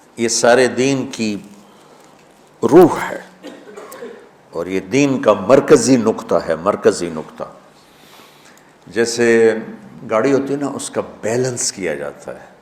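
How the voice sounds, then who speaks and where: A man with a medium pitch speaks with big swings in loudness. Noticeable background noise runs underneath. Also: lively intonation. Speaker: Islamic preacher. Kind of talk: religious sermon.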